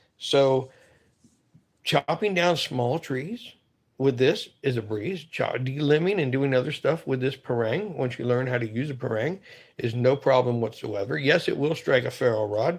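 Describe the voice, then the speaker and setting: At a moderate pace, a man speaks in a normal speaking voice of medium pitch with ordinary variation, against a quiet background. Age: 50s. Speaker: outdoors knife reviewer. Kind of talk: casual video talk. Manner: relaxed, conversational.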